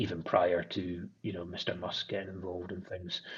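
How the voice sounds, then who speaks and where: A man with an Aberdeen accent speaks at a moderate pace in a very deep, low pitch. His voice is somewhat breathy, with monotone, flat intonation. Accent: Scottish (Aberdeen). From Scotland, Aberdeen. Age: 30s. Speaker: menswear brand founder and designer. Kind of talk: podcast interview. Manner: hesitant, repeats words.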